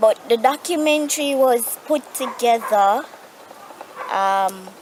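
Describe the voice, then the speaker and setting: Noticeable background noise sits behind a high-pitched woman. She talks at a very slow pace with lively intonation. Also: long, frequent pauses. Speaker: vlogger living with osteogenesis imperfecta. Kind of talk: casual vlog update. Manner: halting, self-correcting.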